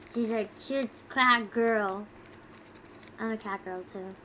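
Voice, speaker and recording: A woman with a fairly high pitch speaks very slowly. Noticeable background noise runs underneath. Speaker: streamer. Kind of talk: casual chat.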